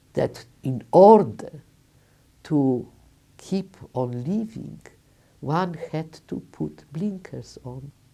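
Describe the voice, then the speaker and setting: A woman with a Polish accent speaks at a very slow pace with long, frequent pauses, her very deep, low pitch swinging very widely. Her tone is dark and mellow, and her loudness swings a lot. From Lodz, Poland. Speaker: Holocaust survivor. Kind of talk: testimony interview.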